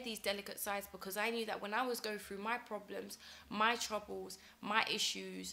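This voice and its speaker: Delivered in a British accent, a woman's fairly high voice moves at a moderate pace with monotone, flat intonation. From UK. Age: young. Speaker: talk show presenter. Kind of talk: personal monologue. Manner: hesitant with frequent fillers.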